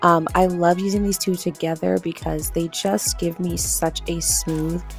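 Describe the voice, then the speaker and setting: A woman with an upbeat, enthusiastic tone at a fairly slow pace, music in the background. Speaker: beauty vlogger. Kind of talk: casual makeup tutorial voiceover.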